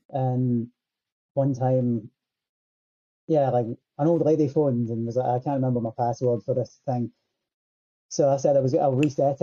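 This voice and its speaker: Speaking with a Scottish accent, a man with a dark, mellow tone uses fairly even intonation and long, frequent pauses, in a dry, close sound with no echo. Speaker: musician. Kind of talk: casual chat. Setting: video call.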